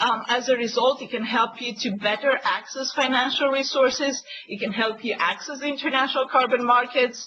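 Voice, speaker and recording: Fairly quick delivery with hardly any pauses, fairly even intonation, and noticeable background noise. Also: woman, high pitch for a woman. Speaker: webinar moderator and climate policy consultant. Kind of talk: webinar presentation. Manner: hesitant, many fillers.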